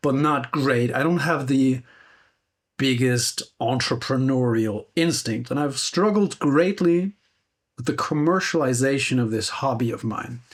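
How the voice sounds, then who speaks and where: Recorded very cleanly against a silent background, a man with a plain, everyday voice speaks at a fairly slow pace and medium pitch, with ordinary pitch variation. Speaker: guitar gear YouTuber. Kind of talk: casual reflective monologue.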